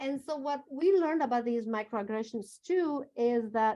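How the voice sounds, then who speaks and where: A woman with a non-native accent speaks at a moderate pace in a fairly high pitch, her dark, mellow tone carried by lively intonation. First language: not English. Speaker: workshop presenter. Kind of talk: presentation.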